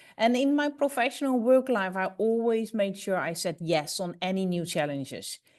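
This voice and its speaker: A woman with a Dutch accent talks at a moderate pace with lively intonation. The background is quiet. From Netherlands. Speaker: business executive, panelist. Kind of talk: panel discussion. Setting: webinar video call. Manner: halting.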